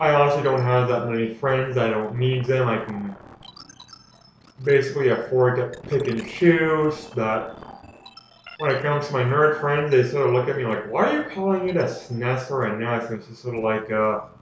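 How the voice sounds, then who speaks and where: With music in the background and audible room echo, the speaker keeps a moderate pace and ordinary pitch variation. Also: man, medium pitch for a man. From Canada. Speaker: gaming commentator. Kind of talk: let's play commentary. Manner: casual, rambling with fillers.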